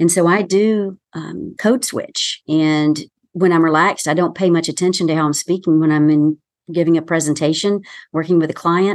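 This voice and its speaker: A woman with an American accent speaks at a moderate pace in a fairly low pitch. Her intonation is fairly even, and the background is quiet. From US South. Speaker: communication consultant. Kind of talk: interview.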